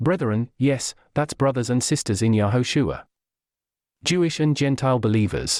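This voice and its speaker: In a very clean recording with a silent background, a man with an unremarkable speaking voice talks at a moderate pace, with medium pitch, ordinary pitch variation and very even loudness. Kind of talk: dramatized religious commentary voice-over.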